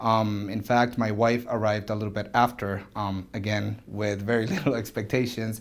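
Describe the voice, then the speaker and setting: A man with a Spanish accent speaks at a moderate pace. His fairly low voice is monotone and flat. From Venezuela, Caracas. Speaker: orthodontist. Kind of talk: interview.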